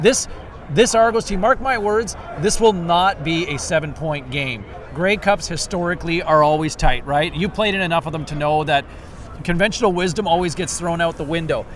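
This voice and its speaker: Noticeable background noise sits behind the voice. The speech moves at a moderate pace with ordinary pitch variation. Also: man, high pitch for a man. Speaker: podcast host. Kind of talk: casual sports chat. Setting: outdoors at practice field.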